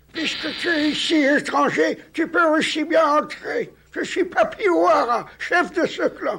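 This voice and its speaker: The put-on character voice sits high in pitch and moves at a fairly slow pace. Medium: fan dub.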